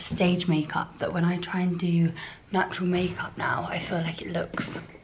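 Pitched fairly low, a woman speaks while noticeable noise sounds in the background. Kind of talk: casual vlog chat. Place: home room. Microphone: phone near.

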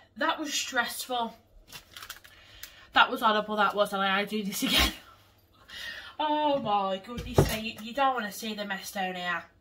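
Noticeable background noise sits behind a woman's fairly high voice, which moves at a moderate pace with long, frequent pauses. Her pitch varies in an ordinary way, and her loudness swings widely. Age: 20s. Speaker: lifestyle vlogger. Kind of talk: casual vlog talk to camera. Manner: chatty, informal.

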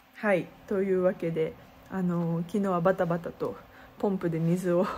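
Somewhat breathy, a woman speaks at a fairly slow pace over light background noise. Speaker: street performer vlogger. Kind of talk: casual vlog chat. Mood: worried but upbeat. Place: home room. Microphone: phone near.

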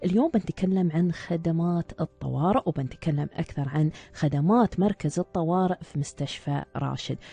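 A woman with fairly low pitch speaks at a moderate pace with hardly any pauses and ordinary pitch variation. Her voice is somewhat breathy with a dark, mellow tone, and the sound is dry with no echo. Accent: Emirati. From UAE. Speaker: radio host and doctor. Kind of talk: live radio show. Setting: studio. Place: studio.

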